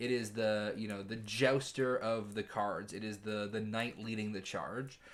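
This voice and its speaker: A man speaks in a flat monotone at a fairly slow pace, with hardly any pauses. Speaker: tarot reader. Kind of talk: tarot reading monologue. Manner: halting, with repetitions; casual, conversational.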